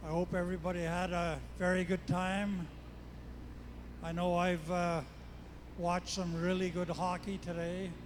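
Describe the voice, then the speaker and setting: The recording has audible room echo. A man speaks slowly-ish, at a fairly slow pace, in a high pitch with monotone, flat intonation. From Yukon, Canada (Dalton Post region). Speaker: First Nations elder. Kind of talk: public address remarks.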